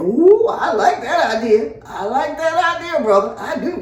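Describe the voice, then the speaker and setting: A put-on character voice sits at a high pitch with very wide pitch swings. It moves at a moderate pace, with a slight echo. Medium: read story.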